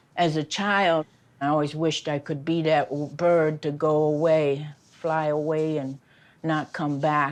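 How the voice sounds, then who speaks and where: A woman speaks fairly slowly in a very deep, low voice with flat, monotone intonation against a quiet background. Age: 60s. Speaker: reality TV participant. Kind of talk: personal testimony interview.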